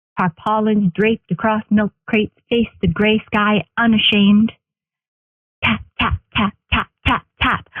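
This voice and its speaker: A woman speaks with a fairly high pitch at a fairly slow pace, leaving long, frequent pauses. Her intonation is monotone and flat, and her loudness stays very even. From Northern Ontario, Canada. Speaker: spoken word poet. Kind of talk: spoken word poetry performance.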